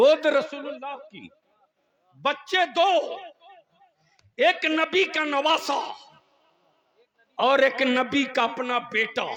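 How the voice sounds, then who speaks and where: A man with an extremely high pitch and ordinary pitch variation speaks with long, frequent pauses and big swings in loudness. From India. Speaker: Islamic orator and poet. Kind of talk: religious speech to a gathering. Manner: fervent, rousing, call-and-response with audience.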